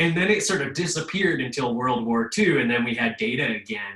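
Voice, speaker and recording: A man at medium pitch with lively intonation and a moderate pace, amid noticeable background noise. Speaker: history professor. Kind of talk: webinar presentation. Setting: video call.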